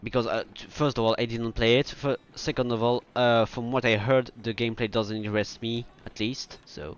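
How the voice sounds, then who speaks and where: A man with a French accent. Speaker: video game streamer. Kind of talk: casual gameplay commentary. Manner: halting, with frequent fillers and restarts.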